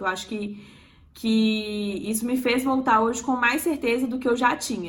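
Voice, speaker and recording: A woman speaks at a high pitch with fairly even intonation. Her pace is moderate. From Minas Gerais, Belo Horizonte. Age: 20s. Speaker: emergency medicine resident. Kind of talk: casual chat.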